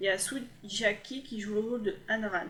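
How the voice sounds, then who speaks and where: The speaker is a woman. Her voice is at a medium pitch. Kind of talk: voice-over review of TV dramas. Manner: hesitant, stumbling.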